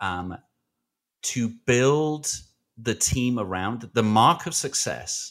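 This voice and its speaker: Lively intonation from a man in a very clean recording with a silent background. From Britain. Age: 40s.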